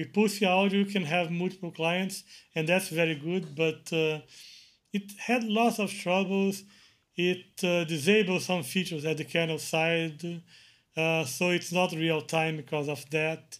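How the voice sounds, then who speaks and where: In a very clean recording with a silent background, a man with a Portuguese accent speaks fairly slowly. His pitch is high and his intonation fairly even. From Brazil. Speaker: Linux kernel maintainer. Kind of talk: interview.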